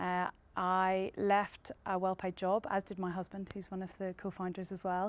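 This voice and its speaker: A woman with a Northern Irish accent, medium pitch and a moderate pace, on a very clean recording with a silent background. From Northern Ireland. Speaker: tech company co-founder. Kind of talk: panel discussion.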